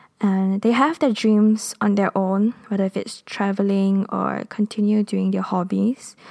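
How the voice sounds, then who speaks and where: A woman speaks at a fairly slow pace with hardly any pauses, her medium-pitched voice dark and mellow in tone. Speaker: podcast host. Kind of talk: casual Q&A monologue.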